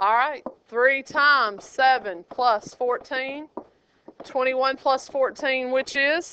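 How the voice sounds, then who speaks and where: A woman projects a raised, high-pitched voice with a bright, sharp tone, speaking at a very slow pace. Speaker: high school geometry teacher. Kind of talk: classroom lecture. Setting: classroom. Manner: animated.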